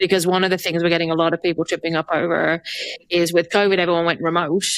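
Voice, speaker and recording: Speaking at a very fast pace, a woman keeps a fairly low pitch, very even loudness and monotone, flat intonation in a dry, close sound with no echo. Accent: English. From England. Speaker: podcast host, HR consultant. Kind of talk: casual interview.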